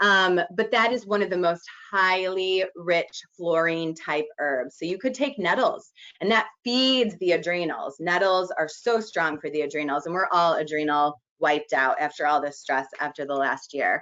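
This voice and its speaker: Speaking at a fairly slow pace, a woman with a fairly low voice uses an animated tone and lively intonation. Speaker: naturopathic doctor teaching a class. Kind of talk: lecture. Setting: video conference.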